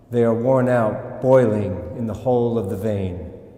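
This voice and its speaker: Speaking very slowly at a medium pitch, a man uses ordinary pitch variation over noticeable background noise. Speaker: actor. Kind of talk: poetry reading.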